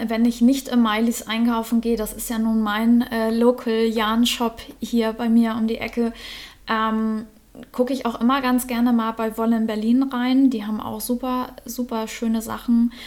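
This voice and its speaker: A woman's fairly high voice at a moderate pace, monotone and flat in intonation. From northern Germany, Norderstedt near Hamburg. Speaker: knitter and yarn dyer with online shop. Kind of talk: casual interview. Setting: in person at the guest's home. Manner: hesitant, many filler sounds.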